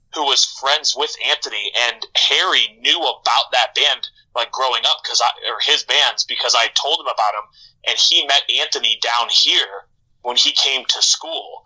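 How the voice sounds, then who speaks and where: A man speaks at a moderate pace with a slight Midwestern accent. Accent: slight Midwestern way of pronouncing words. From US Midwest, Michigan. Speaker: rock band bassist. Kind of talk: casual podcast interview.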